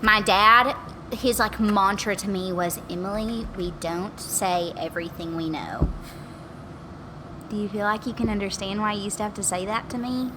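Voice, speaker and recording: In an American accent, a woman talks at a moderate pace with ordinary pitch variation, while audible room echo and noticeable background noise fill the recording. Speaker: podcast guest. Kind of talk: casual chat. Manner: animated.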